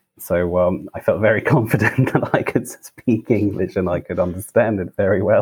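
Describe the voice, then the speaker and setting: The speech moves at a moderate pace, and the sound is dry and close with no echo. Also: man. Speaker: pronunciation teacher. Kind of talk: interview conversation. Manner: hesitant, many fillers.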